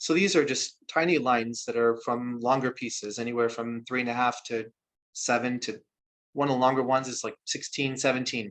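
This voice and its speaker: At a fairly quick pace, a man with a normal speaking voice talks at a medium pitch with fairly even intonation. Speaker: spoken word artist. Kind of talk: talk to an audience about his craft.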